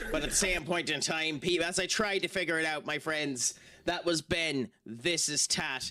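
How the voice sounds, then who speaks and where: An Irish accent marks this man's voice, which has a fairly high pitch and a bright, sharp tone. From Ireland. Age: 30s. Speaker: gaming streamer. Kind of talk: casual chat. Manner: animated.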